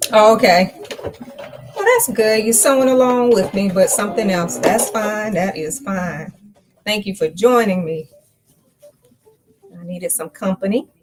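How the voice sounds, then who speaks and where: In an ordinary speaking voice, a woman with a fairly high pitch talks at a fairly slow pace, with ordinary pitch variation and big swings in loudness. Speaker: sewing pattern designer. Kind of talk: live sewing tutorial. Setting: live stream. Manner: casual, chatty.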